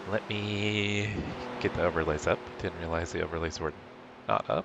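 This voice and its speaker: A man's fairly low voice at a moderate pace, fairly even in intonation, over noticeable background noise. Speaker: sim racing streamer. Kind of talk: live stream commentary. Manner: casual, conversational.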